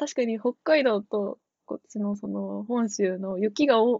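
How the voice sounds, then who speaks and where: This woman talks fairly slowly in a fairly high voice with ordinary pitch variation. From Tochigi. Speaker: returning podcast guest. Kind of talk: casual chat.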